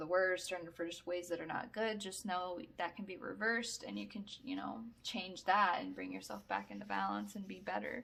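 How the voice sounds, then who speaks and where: A woman is talking. Her pace is moderate. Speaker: tarot reader. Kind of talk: tarot reading to camera. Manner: halting, filler-heavy.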